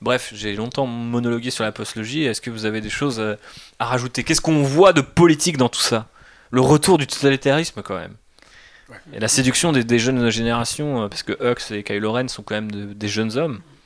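A man with a plain, everyday voice talks at a moderate pace, his medium pitch showing ordinary variation, in a very clean recording with a silent background. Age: 30s. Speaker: podcast host. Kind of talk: casual chat.

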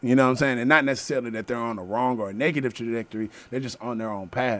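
A man with an American accent speaks at a medium pitch with fairly even intonation, in a plain, everyday voice. The recording is very clean, with a silent background. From Texas, Houston south side. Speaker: community activist and media founder. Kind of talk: casual interview chat.

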